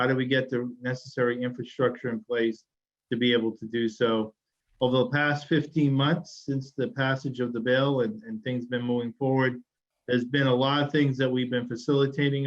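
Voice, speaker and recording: A man with a Massachusetts accent speaks fairly quickly in a monotone, flat intonation. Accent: Massachusetts accent, still noticeable. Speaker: state transportation secretary. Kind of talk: webinar presentation. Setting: webinar.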